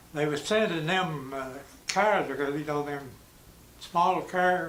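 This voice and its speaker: A man with an East Tennessee accent, fairly high pitched, at a fairly slow pace with ordinary pitch variation, noticeable background noise and audible room echo. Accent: East Tennessee Southern. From US South. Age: 90s. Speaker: war veteran. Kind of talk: oral history interview. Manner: halting.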